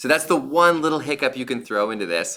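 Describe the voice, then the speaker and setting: A man's bright, sharp tone with vocal fry and very wide pitch swings. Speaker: high school biology teacher. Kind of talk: lecture. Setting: livestream. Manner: fast; casual.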